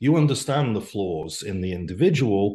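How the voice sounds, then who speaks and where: A man speaks with a Welsh accent, his voice somewhat breathy. The background is quiet. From Wales. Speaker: business executive. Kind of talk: casual interview chat.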